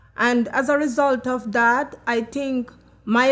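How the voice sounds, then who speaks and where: Speaking very slowly, a woman uses a high pitch and a Jamaican accent. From Jamaica, Kingston. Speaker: chef and personal support worker. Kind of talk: testimony.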